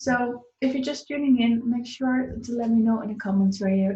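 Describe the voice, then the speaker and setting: A woman's somewhat breathy voice with a Dutch accent and a dark, mellow tone, at a moderate pace with ordinary pitch variation. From Netherlands. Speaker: business coach. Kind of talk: live online talk. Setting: live stream. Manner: halting, many fillers.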